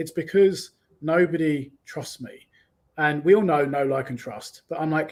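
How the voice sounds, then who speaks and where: Delivery comes at a moderate pace with ordinary pitch variation. The loudness swings widely. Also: man. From London. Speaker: online business coach. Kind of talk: interview.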